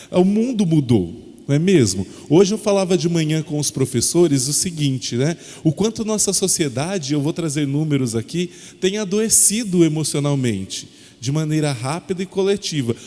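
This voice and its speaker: Lively intonation marks this man's fairly high-pitched voice, delivered at a moderate pace. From interior of São Paulo state, Brazil. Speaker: educational consultant. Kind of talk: lecture. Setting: presentation to parents and children at a school.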